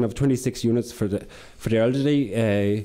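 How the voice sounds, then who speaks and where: A very fast-talking man with an Irish accent, a dark, mellow tone, and fairly even intonation. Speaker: corporate sustainability manager. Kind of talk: conference presentation. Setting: conference with audience.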